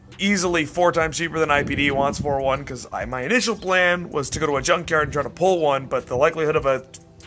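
Music plays behind a man who talks at a very fast pace with hardly any pauses. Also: ordinary pitch variation. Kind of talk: casual vlog chat. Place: garage. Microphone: phone near.

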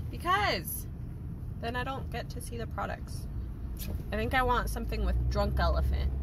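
Fairly slow speech with a dry sound and no echo, over loud background noise. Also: woman. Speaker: vlogger. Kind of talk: casual vlog chat. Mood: playful, mock annoyed. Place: car. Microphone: phone near.

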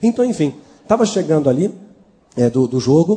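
This man's voice sits fairly high. Its pitch rises and falls very widely. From São Paulo, Brazil. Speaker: former satanist giving a testimony; preacher giving testimony. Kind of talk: testimony. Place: church. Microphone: handheld.

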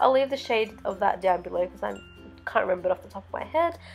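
With music in the background, a woman talks in an Australian accent. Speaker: makeup artist. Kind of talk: makeup tutorial voiceover.

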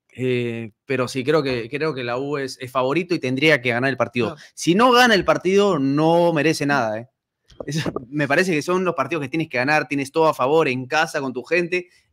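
A man talks at a fairly quick pace with a fairly high pitch. His pitch varies in an ordinary way over a quiet background. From Peru. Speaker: sports podcast host. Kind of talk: casual chat; talk show commentary. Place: studio. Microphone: studio mic.

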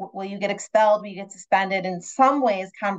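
Using a plain, everyday voice, a woman speaks at a fairly quick pace with fairly even intonation. The sound is dry and close, with no echo. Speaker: nonprofit associate director and webinar moderator. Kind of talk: online panel moderation. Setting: video call.

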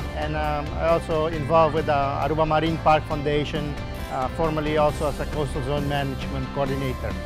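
Clear music plays behind a man talking at a fairly quick pace. The recording is dry, with no echo. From Aruba. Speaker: marine biologist. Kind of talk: interview answer. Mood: calm, friendly. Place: beach.

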